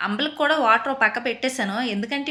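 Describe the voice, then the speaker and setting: A woman speaks in a high pitch with a bright, sharp tone. Her pitch variation is ordinary. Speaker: housewife vlogger. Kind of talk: vlog voice-over narration. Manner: usually loud.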